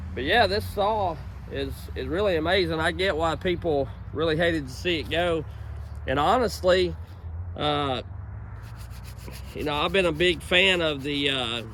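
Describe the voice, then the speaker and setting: At a moderate pace, a man talks with long, frequent pauses, his voice carrying audible room echo. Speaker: chainsaw hobbyist vlogger. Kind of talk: casual outdoor vlog talk. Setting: outdoors at a woodlot. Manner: loud, yelling; halting, many fillers.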